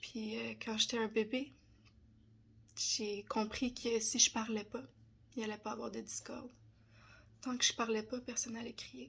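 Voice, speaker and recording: With a Quebec accent, a woman talks at a fairly slow pace in a fairly high pitch, her fairly even intonation broken by long, frequent pauses and marked by vocal fry. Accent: Québécois French. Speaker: personal development content creator. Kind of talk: personal testimony. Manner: hesitant, many fillers.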